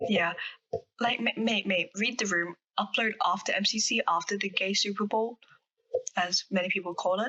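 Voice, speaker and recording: A woman with an Australian accent, medium in pitch, at a moderate pace with ordinary pitch variation, very even loudness, and long, frequent pauses. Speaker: podcast co-host. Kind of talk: casual chat.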